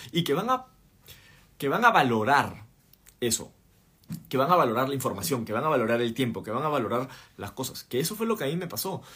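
A man's animated, bright, sharp voice, with very wide pitch swings, a fairly quick pace and long, frequent pauses. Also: medium pitch for a man. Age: 30s. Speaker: podcast host and entrepreneur. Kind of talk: livestream talk. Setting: live stream.

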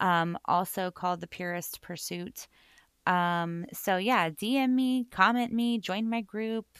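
This woman has a bubbly tone at a medium pitch with ordinary pitch variation. The recording is very clean with a silent background. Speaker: self-love and mindset coach, podcast host. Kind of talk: solo podcast monologue. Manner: loud and bubbly; rambling with many fillers.

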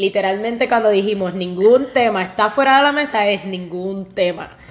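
This clip features a woman. She uses ordinary pitch variation. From Puerto Rico. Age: 30s. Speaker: podcast co-host, pastry cook. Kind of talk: casual chat.

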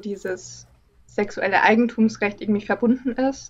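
Somewhat breathy female speech, moderate in pace and medium in pitch. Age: 20s. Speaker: artist. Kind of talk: casual interview. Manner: calm, quiet.

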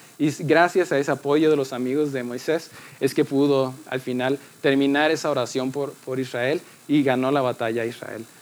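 A man's plain, everyday voice, fairly high-pitched, with fairly even intonation at a moderate pace. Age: 20s. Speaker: youth church speaker. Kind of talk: sermon.

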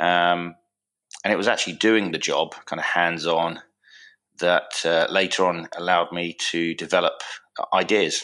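Bright, sharp tone at a moderate pace, with monotone, flat intonation and long, frequent pauses. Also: man, very deep, low pitch for a man. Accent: southern English. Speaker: product manufacturer, former navy engineer. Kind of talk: podcast interview.

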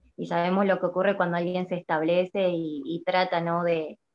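A woman speaks at a moderate pace with a fairly low pitch and fairly even intonation. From Argentina. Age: 20s. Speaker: prophet and social media preacher. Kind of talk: interview testimony. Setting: live video stream. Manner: hesitant, many fillers.

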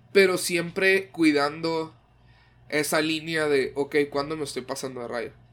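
A man's fairly high voice at a fairly slow pace, with fairly even intonation. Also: very clean recording, silent background. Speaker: podcast co-host. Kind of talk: casual chat.

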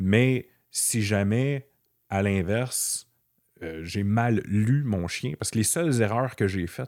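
Someone with a Quebec accent speaks at a very slow pace with ordinary pitch variation. The recording is very clean, with a silent background and a dry, close sound with no echo. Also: man. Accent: Québécois French. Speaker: blood-tracking dog handler. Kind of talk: casual interview.

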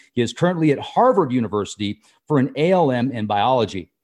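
Lively intonation marks a man's voice with a dark, mellow tone. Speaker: podcast host. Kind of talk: interview.

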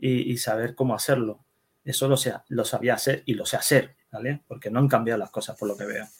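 A somewhat breathy man speaks at a fairly quick pace and medium pitch. His intonation is fairly even. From Netherlands, Spanish immigrant family. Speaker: web developer and security specialist. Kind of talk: interview. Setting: at home, son nearby.

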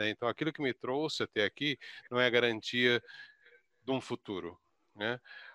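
At a moderate pace and medium pitch, a man speaks in a bright, sharp tone with ordinary pitch variation and long, frequent pauses, the sound dry and close with no echo. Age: 60s. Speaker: career consultant. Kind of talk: live webinar panel discussion.

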